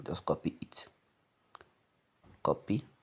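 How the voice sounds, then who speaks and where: A man is speaking. His tone is dark and mellow. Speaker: forex trader. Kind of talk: tutorial. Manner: hurried.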